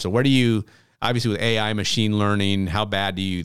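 A man with a plain, everyday voice speaks at a moderate pace. His pitch is fairly low, and the recording is very clean with a silent background. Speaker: podcast host. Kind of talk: casual interview.

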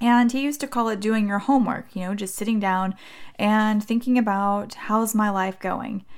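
Against a very clean, silent background, a woman with an ordinary speaking voice talks at a moderate pace with a fairly high pitch and fairly even intonation. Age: 40s. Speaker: podcast host and mindset coach. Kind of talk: solo podcast monologue. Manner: warm, friendly.

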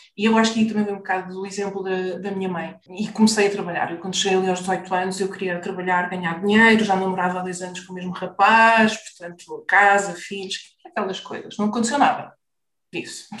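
Her medium-pitched voice stays monotone and flat in intonation while her loudness swings widely. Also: fairly quick pace. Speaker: business mentor for therapists. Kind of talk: interview.

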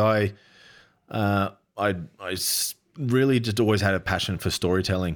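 A man speaks with an Australian accent at a fairly low pitch. His pace is moderate. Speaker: adventure cinematographer. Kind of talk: casual interview.

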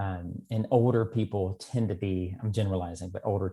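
This man has a dark, mellow tone and a fairly low pitch. He sounds somewhat breathy, with monotone, flat intonation. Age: 40s. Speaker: yoga teacher. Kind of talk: casual interview chat. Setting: remote recording. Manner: halting, hesitant.

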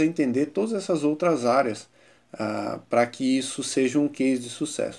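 A man's dark, mellow tone unfolds at a moderate pace. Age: 30s. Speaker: innovation consultant and professor. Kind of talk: interview.

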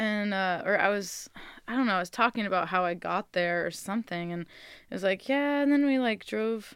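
Recorded very cleanly against a silent background, a woman with an American accent has a plain, everyday voice, medium pitch and ordinary pitch variation. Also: fairly quick pace. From California, San Francisco Bay Area suburbs. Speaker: singer-songwriter. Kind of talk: casual interview chat. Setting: radio studio.

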